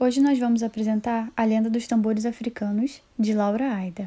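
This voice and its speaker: Her tone is dark and mellow, somewhat breathy, with fairly high pitch for a woman. The intonation stays fairly even. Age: 20s. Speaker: pedagogy student. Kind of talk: reading aloud.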